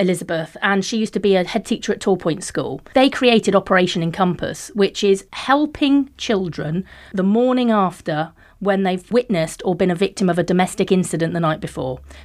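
A woman's speech comes at a fairly quick pace and carries lively intonation. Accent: West Country. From Devon, Plymouth area. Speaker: police and crime commissioner. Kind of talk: interview conversation. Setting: studio.

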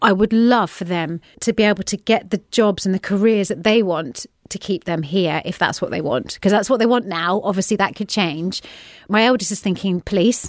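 With an unremarkable speaking voice, a woman talks at a medium pitch and moderate pace with ordinary pitch variation, in a very clean recording with a silent background. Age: 40s. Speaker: podcast guest, politician's wife. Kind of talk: interview. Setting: studio.

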